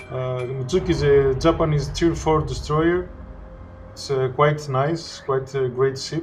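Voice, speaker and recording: With audible room echo and noticeable background noise, a man talks at a fairly high pitch in fairly even intonation. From Greece. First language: Greek. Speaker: gaming commentator. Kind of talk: gameplay commentary. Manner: halting, many fillers.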